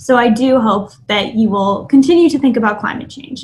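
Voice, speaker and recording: Speaking at a moderate pace, a woman with an American accent has a fairly high pitch. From US South, Miami, Florida. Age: 20s. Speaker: climate activist. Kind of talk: talk.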